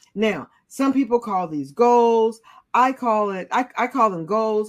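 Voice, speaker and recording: A woman uses a normal speaking voice at a medium pitch, with ordinary pitch variation. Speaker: leadership coach. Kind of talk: inspirational interview conversation.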